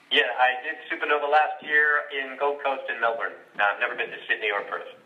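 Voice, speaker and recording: This man has an American accent and speaks at a fairly quick pace, with noticeable background noise behind him. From Brooklyn, New York. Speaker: voice actor and singer-songwriter. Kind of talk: interview answer. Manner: casual, conversational.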